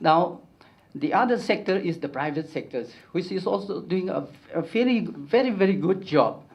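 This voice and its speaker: A man speaks with a high pitch and lively intonation. Audible room echo is present. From Northeast India, Kuki community. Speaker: education activist, conference speaker. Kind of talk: conference talk. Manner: slow; halting, many fillers.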